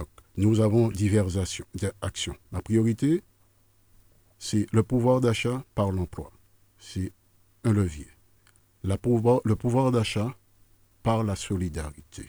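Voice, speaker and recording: In a very clean recording with a silent background and a dry, close sound with no echo, a man with a fairly low pitch and a dark, mellow tone speaks at a very slow pace, using ordinary pitch variation and long, frequent pauses. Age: 60s. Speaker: political candidate. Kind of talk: radio interview. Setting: radio studio.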